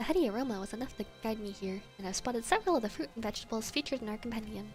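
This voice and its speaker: Music plays behind a woman with a fairly high pitch. She talks at a very fast pace. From Canada. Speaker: streamer reading game dialogue aloud. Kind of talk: reads game text aloud.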